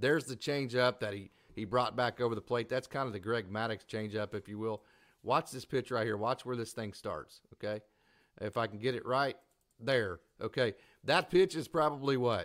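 In a very clean recording with a silent background, a man with an Oklahoma accent speaks at a moderate pace. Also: medium pitch for a man, ordinary pitch variation. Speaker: baseball podcast host. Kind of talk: casual sports talk show. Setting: live stream.

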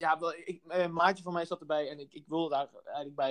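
Speaking at a very fast pace, a man with a fairly high pitch keeps a monotone, flat intonation in a dry, close sound with no echo. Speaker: podcast co-host. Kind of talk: casual chat. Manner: halting, many repetitions; talkative.

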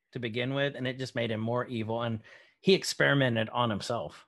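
On a very clean recording with a silent background, a man with an unremarkable speaking voice talks fairly quickly at a medium pitch with ordinary pitch variation. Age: 30s. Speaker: podcast co-host discussing movies. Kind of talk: casual chat. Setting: video recording.

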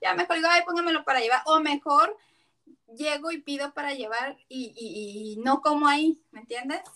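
Her voice raised and projected, a woman with a high pitch speaks at a moderate pace with lively intonation. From Mexico, Tijuana. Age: 30s. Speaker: taco business owner, bariatric patient. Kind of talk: casual interview. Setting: remote call.

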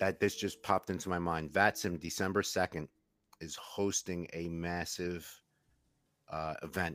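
Speaking in a New York accent, a man's very deep, low voice stays flat and monotone, captured dry and close with no echo on a very clean recording with a silent background. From New York, Queens. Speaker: co-host, retired EMT. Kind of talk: casual chat.

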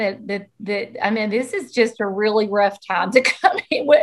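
Her voice fairly high, a woman speaks at a moderate pace with a Southern US accent. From US South. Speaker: podcast co-host, school counselor. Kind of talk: casual chat.

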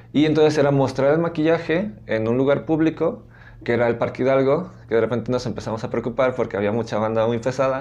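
This is a man with a medium pitch. His tone is dark and mellow. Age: 30s. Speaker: arts teacher. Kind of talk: interview.

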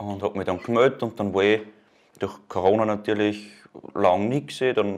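A man speaks at a moderate pace and medium pitch. He has a normal speaking voice. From Upper Austria, Mühlviertel. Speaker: Red Cross volunteer and student. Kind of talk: casual interview.

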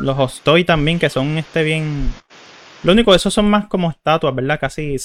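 At a moderate pace, a man speaks with a fairly high pitch. His pitch variation is ordinary. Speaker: podcast host and streamer. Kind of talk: casual chat. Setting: live stream.

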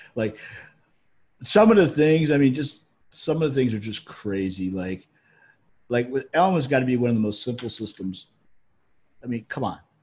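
A man with a medium pitch speaks somewhat breathily at a moderate pace, with lively intonation. He leaves long, frequent pauses on a very clean recording with a silent background. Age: 50s. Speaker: affiliate marketer and web developer. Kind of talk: casual chat.

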